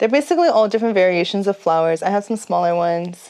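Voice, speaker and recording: A woman with an American accent and ordinary pitch variation. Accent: Texan, slight, slips out. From Texas. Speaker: nightlife vlogger. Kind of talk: casual vlog chat. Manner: chatty, rambling casual.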